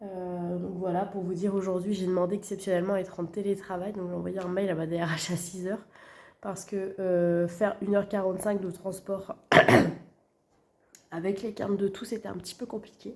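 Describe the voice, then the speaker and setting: A woman talking at a fairly quick pace in monotone, flat intonation. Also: medium pitch for a woman. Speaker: budgeting vlogger. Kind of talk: casual vlog. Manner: hesitant, many fillers.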